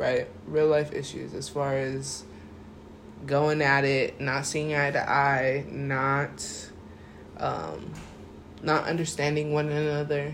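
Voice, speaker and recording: Speaking at a very slow pace, a man leaves long, frequent pauses, and room echo can be heard. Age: 20s. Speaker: podcast host. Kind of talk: casual chat.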